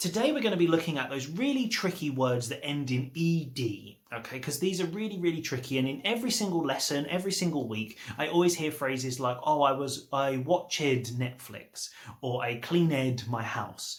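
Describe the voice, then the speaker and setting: The voice moves at a moderate pace with lively intonation and hardly any pauses. Noticeable background noise is present. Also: man, fairly high pitch for a man. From England. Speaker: English teacher. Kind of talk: tutorial.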